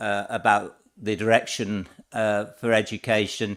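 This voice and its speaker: A man talking at a very slow pace. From England. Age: 70s. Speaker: local councillor. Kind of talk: speech. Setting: council chamber.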